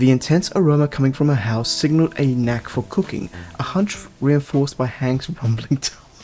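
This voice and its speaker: A man's fairly high-pitched voice at a fairly quick pace, over noticeable background noise. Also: ordinary pitch variation. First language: not English. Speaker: gaming YouTuber. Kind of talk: gameplay commentary.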